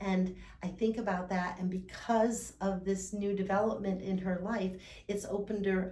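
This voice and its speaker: A woman with a medium-pitched voice talks at a moderate pace. Audible room echo and noticeable background noise are present. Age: 60s. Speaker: fitness coach for older adults. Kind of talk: instructional talk. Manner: casual, with many fillers.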